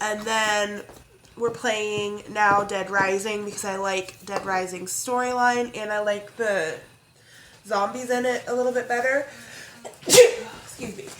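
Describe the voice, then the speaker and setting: Recorded with audible room echo and noticeable background noise, a woman speaks at a fairly high pitch and a fairly slow pace with fairly even intonation. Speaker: crafting vlogger. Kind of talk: casual chat. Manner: chatty, rambling with fillers.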